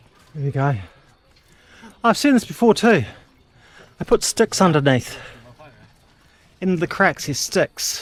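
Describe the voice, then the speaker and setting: With an Australian accent, this speaker moves at a fairly slow pace, swinging very widely in pitch and leaving long, frequent pauses. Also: man, high pitch for a man. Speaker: travel vlogger. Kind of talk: walking tour vlog. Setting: outdoors. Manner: casual, halting with fillers.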